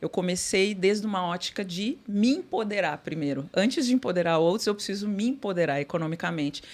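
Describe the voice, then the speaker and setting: On a very clean recording with a silent background, a woman talks at a fairly quick pace in a medium pitch with ordinary pitch variation. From Brazil, Porto Alegre. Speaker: corporate sustainability executive. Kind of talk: podcast interview. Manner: halting, many fillers.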